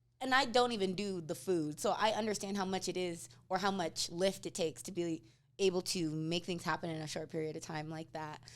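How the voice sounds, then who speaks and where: A woman's fairly low voice, ordinary pitch variation, fairly quick pace. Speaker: interview show host and event planner. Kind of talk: casual interview. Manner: fast.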